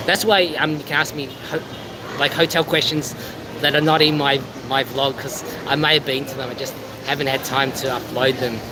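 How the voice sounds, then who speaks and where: A man with an Australian accent and a fairly high pitch talks at a fairly quick pace, with fairly even intonation and long, frequent pauses. Noticeable background noise and audible room echo fill the recording. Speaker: travel vlogger. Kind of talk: casual chat. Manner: halting.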